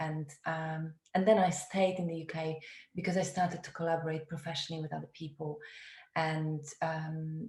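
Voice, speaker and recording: A woman's somewhat breathy, fairly low voice with a Polish accent, monotone, flat intonation and a moderate pace. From Poland. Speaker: theatre director. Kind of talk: webinar talk. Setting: video call.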